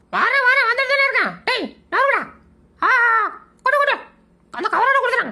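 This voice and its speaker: This is a put-on character voice with an extremely high pitch. The pace is moderate. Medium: fan dub. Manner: impatient, pushy.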